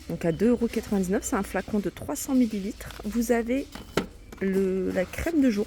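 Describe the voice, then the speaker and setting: A soft-spoken woman's voice at medium pitch, moderate pace and lively intonation. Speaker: shopping vlogger. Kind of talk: store walkthrough vlog. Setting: inside a discount store.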